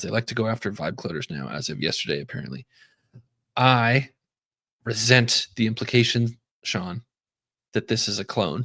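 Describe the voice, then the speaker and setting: Speaking at a moderate pace, a man with a medium pitch uses lively intonation and vocal fry. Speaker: tech company CTO live-streaming coding. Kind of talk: live-stream coding chat. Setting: live stream. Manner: casual, filler-heavy.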